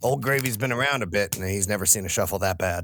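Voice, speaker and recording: Talking very fast, a man uses a raspy, put-on character voice at a fairly low pitch. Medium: actual play. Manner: refers to himself in third person.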